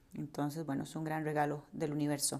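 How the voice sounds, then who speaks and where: A woman speaks with a Costa Rican accent on a very clean recording with a silent background. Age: 30s. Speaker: podcast host and yoga teacher. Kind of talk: personal monologue. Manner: hesitant, many fillers and repetitions.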